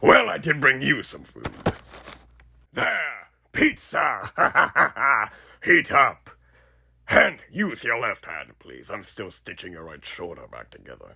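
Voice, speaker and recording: Raspy put-on character voice from a man, fairly slow, with long, frequent pauses. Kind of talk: horror roleplay audio. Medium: solo performance. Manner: casual, sardonic, cruelly playful.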